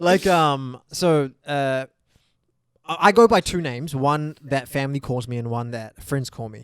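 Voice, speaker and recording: This man speaks with a New Zealand accent. His pitch sits fairly high. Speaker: podcast co-host. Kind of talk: casual chat. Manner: animated.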